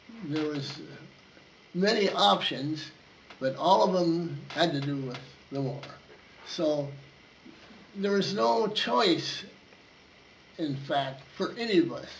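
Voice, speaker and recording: With audible room echo and noticeable background noise, a man speaks very slowly at a fairly high pitch with ordinary pitch variation. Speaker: war veteran. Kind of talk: oral history interview. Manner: halting.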